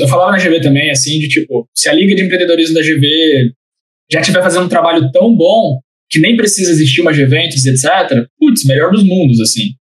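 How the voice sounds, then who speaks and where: A man's high voice at a fairly quick pace, lively intonation, and very even loudness throughout. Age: 20s. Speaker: entrepreneurship center coordinator. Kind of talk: casual interview.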